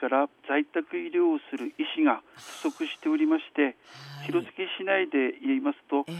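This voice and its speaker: A man at a moderate pace, dry and close with no echo. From Hirosaki, Aomori, northern Japan. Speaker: physician. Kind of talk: radio interview. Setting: phone call.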